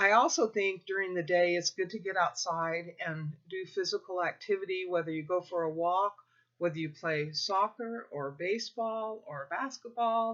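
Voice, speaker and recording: At a moderate pace, a woman with a Midwestern US accent speaks at a medium pitch. Her pitch varies in an ordinary way, with hardly any pauses. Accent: US Midwest. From Kansas, US Midwest. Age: 60s. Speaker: homeschooling parent advisor. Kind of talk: informal advice talk.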